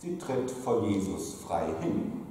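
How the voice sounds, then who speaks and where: In a playful, sing-song way, a man speaks in a room with strong echo and light background noise. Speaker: pastor. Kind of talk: carnival sermon in rhymed couplets (Büttenrede style). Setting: church pulpit. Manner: playful, rhythmic sing-song rhyming delivery with comic timing; jovial, teasing, lively. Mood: humorous, playful. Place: church.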